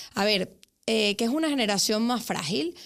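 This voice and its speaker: A woman talks fairly quickly in a very clean recording against a silent background. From Venezuela. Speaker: psychologist. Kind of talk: podcast interview. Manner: hesitant fillers, frequent ¿vale?.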